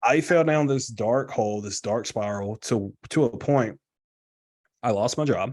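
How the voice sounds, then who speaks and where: The speaker has an unremarkable speaking voice with an American accent and ordinary pitch variation. The pace is fairly slow against a quiet background. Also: man, medium pitch for a man. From US South. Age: 20s. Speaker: guest in recovery sharing story. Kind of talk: testimony. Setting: live video stream. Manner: casual.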